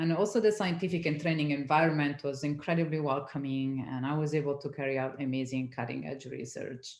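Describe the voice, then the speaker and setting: A woman's very fast speech in an Italian accent, at a very deep, low pitch with ordinary pitch variation, hardly any pauses and audible room echo. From Italy. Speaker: science community manager. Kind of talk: interview.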